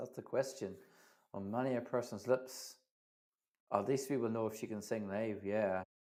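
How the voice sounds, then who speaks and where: A man speaks in a Northern Irish accent at a medium pitch with fairly even intonation. The recording is very clean, with a silent background. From Northern Ireland. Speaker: livestream host, Eurovision fan channel. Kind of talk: live reaction stream chat.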